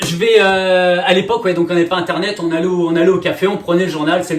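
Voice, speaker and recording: The speech comes at a very fast pace with an energetic tone. Noticeable background noise runs underneath. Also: man. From France. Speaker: real estate trainer and coach. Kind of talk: masterclass presentation. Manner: energetic, many filler hesitations.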